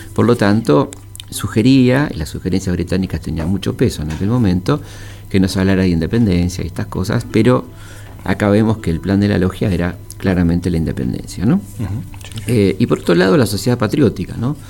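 A man with a very deep, low pitch moves at a fairly quick pace, his pitch varying in an ordinary way while noticeable background noise sounds behind him. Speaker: historian and radio host. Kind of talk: radio history talk. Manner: halting, many fillers.

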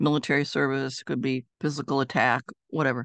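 With vocal fry in her voice, a woman talks at a fairly quick pace. The sound is dry and close with no echo, and the background is quiet. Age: 70s. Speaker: psychologist and author. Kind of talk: interview.

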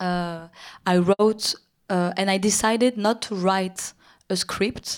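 Speaking with a French accent, a woman holds a medium pitch and fairly even intonation at a very slow pace. The recording is very clean, with a silent background. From Paris, France. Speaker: film director. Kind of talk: on-stage interview conversation. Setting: stage with audience. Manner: halting, hesitant, repeats words.

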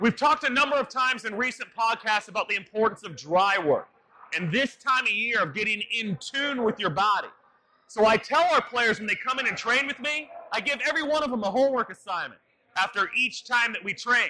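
A raised, projected voice at a fairly quick pace. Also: man, extremely high pitch for a man, ordinary pitch variation. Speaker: baseball trainer. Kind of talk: tutorial.

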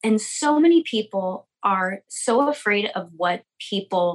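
An ordinary speaking voice from a woman with an American accent, medium in pitch. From US West Coast, Sonoma County, California. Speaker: lash salon owner and business coach. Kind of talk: casual interview chat.

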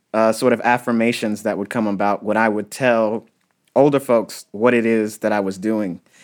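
A man talks at a moderate pace with a medium pitch. His is a plain, everyday voice on a very clean recording with a silent background. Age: 30s. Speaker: archaeologist. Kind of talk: interview.

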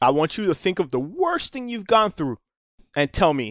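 Very wide pitch swings mark a man's speech with an American accent, recorded dry and close with no echo. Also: very clean recording, silent background. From Miami, Florida. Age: 40s. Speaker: charter boat captain. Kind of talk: casual chat.

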